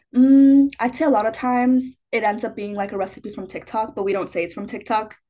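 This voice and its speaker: A normal speaking voice with an American accent moves at a fairly quick pace with hardly any pauses and ordinary pitch variation. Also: woman, fairly high pitch for a woman. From US Midwest, Chicago. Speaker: college student. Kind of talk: casual chat.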